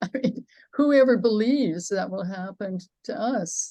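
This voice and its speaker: A woman's fairly high-pitched, somewhat breathy voice with a dark, mellow tone and lively intonation. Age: 80s+. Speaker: author. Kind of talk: audience Q&A. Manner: halting.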